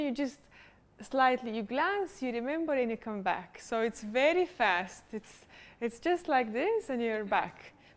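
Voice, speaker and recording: A woman with a non-native accent, high-pitched, lively in intonation and fairly slow in pace. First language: not English. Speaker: public speaking coach. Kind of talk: workshop teaching.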